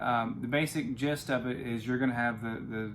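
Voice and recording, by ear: A man at a medium pitch and moderate pace, intonation fairly even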